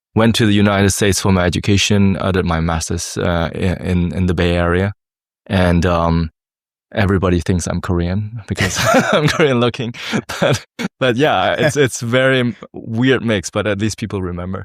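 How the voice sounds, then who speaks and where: A man talks with a German accent. His pace is moderate. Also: fairly low pitch for a man, ordinary pitch variation, very clean recording, silent background. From Germany, Hamburg. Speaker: tech startup founder. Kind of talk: interview. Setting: conference in Dubai. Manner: halting, many fillers.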